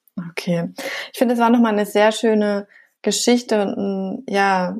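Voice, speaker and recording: Fairly slow, fairly even speech from a woman with an ordinary speaking voice, on a very clean recording with a silent background. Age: 30s. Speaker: podcast host. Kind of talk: interview.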